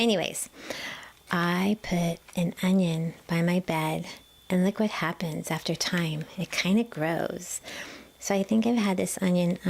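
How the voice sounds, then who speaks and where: A quiet voice with a gentle tone speaks at a fairly slow pace, with ordinary pitch variation. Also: woman. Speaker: massage therapist. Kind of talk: casual talk to camera, gentle chatty tips. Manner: gentle, quiet, soft-spoken.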